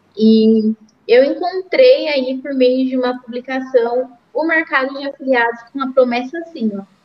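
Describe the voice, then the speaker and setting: A woman's high-pitched voice at a fairly slow pace, with ordinary pitch variation. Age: 20s. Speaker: affiliate marketing specialist. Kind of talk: interview. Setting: home studio, open window.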